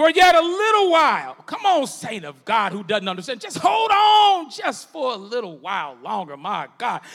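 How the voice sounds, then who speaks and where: Shouting at an extremely high pitch, a man speaks at a moderate pace in an animated, warm tone, with very wide pitch swings and big swings in loudness. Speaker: preacher. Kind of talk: sermon. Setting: church. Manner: animated, call-and-response preaching with congregation; conversational, humorous, warm.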